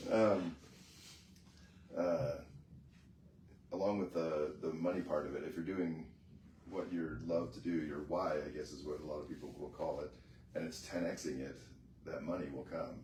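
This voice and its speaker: Soft-spoken and very deep in pitch, a man talks at a moderate pace with ordinary pitch variation and long, frequent pauses. Audible room echo surrounds his voice. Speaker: mastermind group member. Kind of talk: casual chat.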